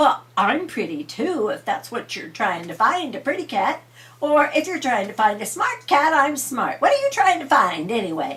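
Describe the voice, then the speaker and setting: Using a put-on character voice, a woman talks at a moderate pace with a high pitch. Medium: read story. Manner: self-assured.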